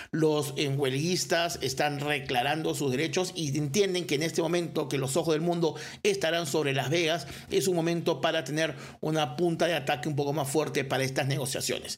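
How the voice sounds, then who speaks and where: In a room with audible echo, a man speaks in an animated tone at a fairly quick pace and a fairly high pitch. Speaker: sports podcast host. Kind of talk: solo sports commentary podcast.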